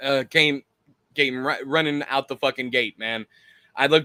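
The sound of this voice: The intonation stays fairly even in this unforced reading voice, heard against a quiet background.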